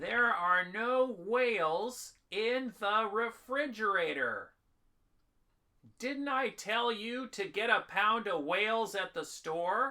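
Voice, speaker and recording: Raised and projected, a put-on character voice moves at a very slow pace with ordinary pitch variation. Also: man, high pitch for a man. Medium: audio drama. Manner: blustering.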